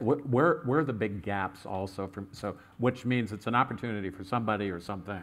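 Pitched fairly low, a man in an unremarkable speaking voice talks at a fairly quick pace with ordinary pitch variation and hardly any pauses. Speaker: panel moderator. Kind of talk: conference panel discussion. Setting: stage with audience.

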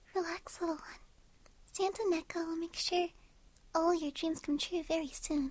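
Whispering, the soft-spoken voice carries a soothing, gentle tone. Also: moderate pace. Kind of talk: soft bedtime roleplay monologue. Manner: soft soothing ASMR whisper, gentle.

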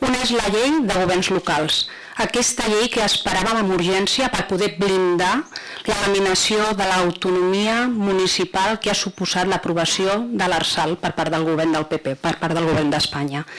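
A woman speaks at a fairly slow pace with ordinary pitch variation. Her loudness stays very even over light background noise. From Catalonia. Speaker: provincial councillor. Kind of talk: council debate. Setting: council chamber. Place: hall. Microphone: podium.

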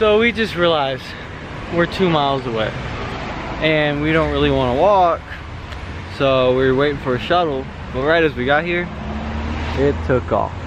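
Against noticeable background noise in a dry sound with no echo, a man talks at a moderate pace with lively intonation and long, frequent pauses. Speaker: vlogger friend. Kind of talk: casual vlog chat. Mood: playful, joking. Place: street. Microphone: phone near.

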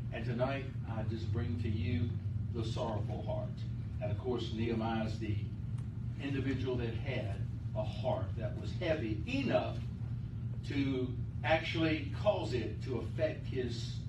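Loud background noise sits behind a man speaking at a fairly slow pace. He leaves long, frequent pauses. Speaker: pastor. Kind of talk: sermon. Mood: calm, earnest. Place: church. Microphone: camera far.

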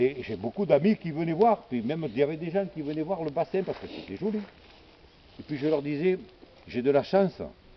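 Lively intonation from a man at a fairly high pitch, a fairly quick pace broken by long, frequent pauses, and light background noise. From Gard, southern France. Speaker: botanist and storyteller of nature anecdotes. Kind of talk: casual anecdote told to others. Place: garden. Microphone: phone near.

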